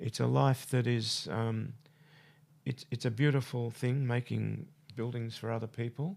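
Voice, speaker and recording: Fairly slow speech from a man with an Australian accent, in a very clean recording with a silent background. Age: 70s. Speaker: architect. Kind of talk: radio interview. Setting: studio. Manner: halting.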